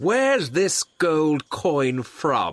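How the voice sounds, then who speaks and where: In a put-on character voice, a man speaks at a fairly high pitch with very wide pitch swings. The sound is dry and close, with no echo. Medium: read story.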